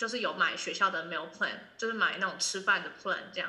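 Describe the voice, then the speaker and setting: Her tone is bright and sharp, and audible room echo surrounds this woman's voice. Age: 20s. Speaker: student. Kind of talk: casual chat.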